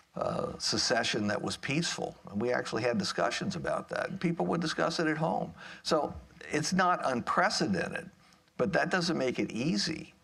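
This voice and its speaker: Using vocal fry, a man with a fairly high pitch talks at a moderate pace with lively intonation. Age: 70s. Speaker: political scientist, panelist. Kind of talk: panel discussion.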